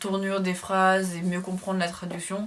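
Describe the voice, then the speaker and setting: Her voice sits at a medium pitch for a woman. Behind it, background noise is noticeable. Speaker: classics student and video creator. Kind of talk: casual tutorial vlog. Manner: fast; somewhat halting, hesitant.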